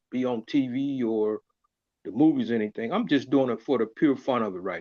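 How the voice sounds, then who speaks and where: This man has a normal speaking voice, medium in pitch, at a moderate pace with ordinary pitch variation. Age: 60s. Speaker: comedian. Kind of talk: casual chat.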